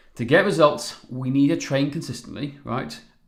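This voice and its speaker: A man's medium-pitched voice with a Welsh accent and vocal fry, fairly quick in pace, with ordinary pitch variation and audible room echo. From Wales. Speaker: fitness coach. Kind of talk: live webinar presentation. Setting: live stream. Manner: animated.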